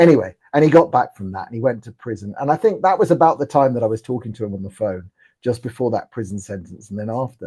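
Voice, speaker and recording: Hardly pausing, a man with a dark, mellow tone and medium pitch talks at a very fast pace with lively intonation. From London (Ealing), England. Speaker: political commentator. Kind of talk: live interview chat. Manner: halting, repeats words.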